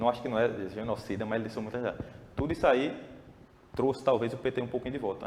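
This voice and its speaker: A man's fairly even intonation holds as he talks at a very fast pace. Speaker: podcast guest. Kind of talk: casual political discussion.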